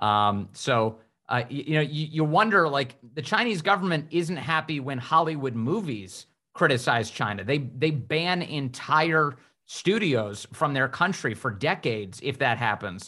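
A man's fairly high, bright, sharp voice with lively intonation at a fairly slow pace, in a very clean recording with a silent background. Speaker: podcast co-host. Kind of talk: interview conversation.

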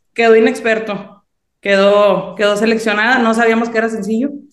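Room echo is audible as a woman speaks at a moderate pace. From Mexico, Sinaloa. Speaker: songwriter. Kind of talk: interview.

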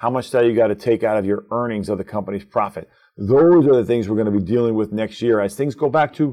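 A normal speaking voice from a man, medium in pitch, at a fairly quick pace. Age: 50s. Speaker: asset management executive. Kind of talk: podcast interview.

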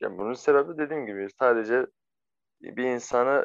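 A man talks at a medium pitch. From Syria. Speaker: refugee. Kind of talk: interview. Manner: halting.

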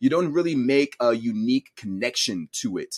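A man speaks at a medium pitch. His is an unremarkable speaking voice. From raised partly in Cameroon, then US. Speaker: science educator and content creator. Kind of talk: interview.

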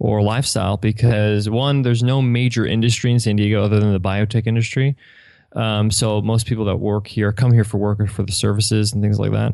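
With an American accent, a man speaks at a fairly quick pace with a fairly low pitch, a dark, mellow tone and monotone, flat intonation. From New York, Long Island. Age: 30s. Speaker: entrepreneur. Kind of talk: interview.

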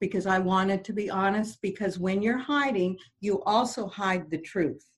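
Somewhat breathy, a woman speaks at a medium pitch with ordinary pitch variation. Her pace is moderate. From French Canadian background. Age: 60s. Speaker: motivational speaker and radio host. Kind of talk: interview; personal testimony.

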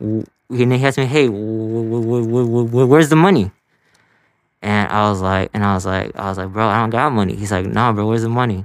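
A man in a Chicago accent at a medium pitch and fairly quick pace, with ordinary pitch variation, on a very clean recording with a silent background. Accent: Chicago area American. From Elgin, Illinois. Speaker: comedian. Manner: repetitive, stuttering.

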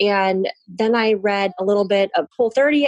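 A woman's plain, everyday voice with ordinary pitch variation, dry and close with no echo. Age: 40s. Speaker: physical therapist. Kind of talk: casual interview.

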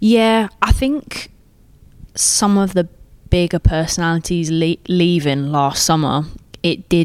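A woman talks with an English accent. Her voice sits fairly low in pitch. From England. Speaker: professional footballer. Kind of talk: interview. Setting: at club training ground.

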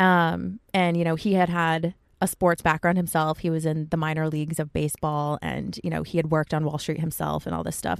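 A woman with an American accent and a normal speaking voice, fairly quick and fairly even in intonation, on a very clean recording with a silent background. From US East Coast, Connecticut. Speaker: photographer, project founder. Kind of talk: casual interview chat. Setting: inside a parked car.

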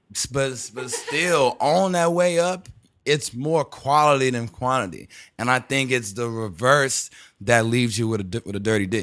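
Over a quiet background, a plain, everyday voice speaks with lively intonation. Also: man. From Texas, Houston. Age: 20s. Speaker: rapper. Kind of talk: casual chat.

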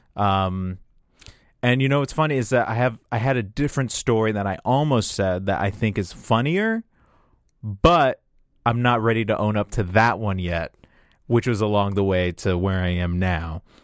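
Recorded very cleanly against a silent background, a man speaks in an ordinary speaking voice at a moderate pace, his pitch fairly low with ordinary pitch variation. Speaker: comedian. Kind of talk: casual chat. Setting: studio.

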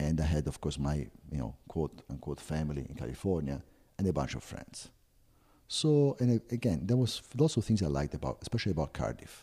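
A man with an Italian accent speaks at a fairly quick pace in a very deep, low voice with a dark, mellow tone, vocal fry and very wide pitch swings. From Italy, Florence. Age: 50s. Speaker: travel agency owner. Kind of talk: interview.

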